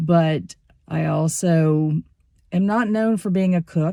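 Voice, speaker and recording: Fairly slow speech from a woman, dark and mellow in tone, with ordinary pitch variation. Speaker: antiques reseller. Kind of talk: casual talk to camera. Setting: car. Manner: rambling.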